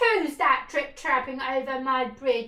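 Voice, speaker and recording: A woman bellows loudly in a put-on character voice, pitched high. She keeps to a fairly slow pace. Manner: bellowing, loud.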